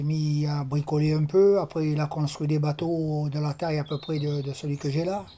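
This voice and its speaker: Speaking at a moderate pace, a man with a fairly high pitch keeps his intonation monotone and flat. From Tunisia (Sousse), later Marseille. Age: 70s. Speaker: retired plumber, amateur fisherman. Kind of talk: oral history testimony interview. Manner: hesitant, many fillers.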